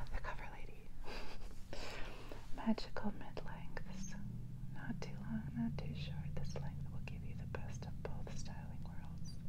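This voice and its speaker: Loud background noise runs under the speech. Long pauses come often. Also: woman, fairly slow pace. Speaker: ASMR creator. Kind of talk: ASMR whispered magazine flip-through.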